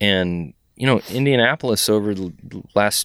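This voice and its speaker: In a very clean recording with a silent background, a man with an American accent speaks at a moderate pace with lively intonation. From Texas, San Antonio. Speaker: fishing guide. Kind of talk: casual chat. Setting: fly shop.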